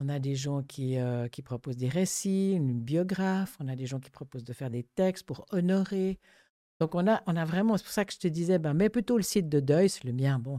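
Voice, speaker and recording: A woman speaks with a very deep, low pitch and a dark, mellow tone, using lively intonation at a moderate pace. The recording is very clean, with a silent background and a dry, close sound with no echo. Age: 70s. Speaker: grief counsellor. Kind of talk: casual chat.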